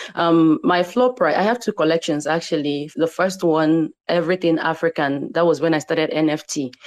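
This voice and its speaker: A woman with a Nigerian accent speaks at a moderate pace with a fairly low pitch and ordinary pitch variation. Her loudness stays very even and she hardly pauses. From Nigeria (Igbo). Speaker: digital artist. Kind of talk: guest interview in online audio room. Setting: online audio room.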